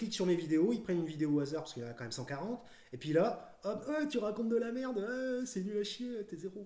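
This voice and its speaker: A man with a high voice speaks very fast, his pitch swinging very widely, with noticeable background noise and audible room echo. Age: 50s. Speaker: YouTuber. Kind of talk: casual monologue. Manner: halting, many fillers.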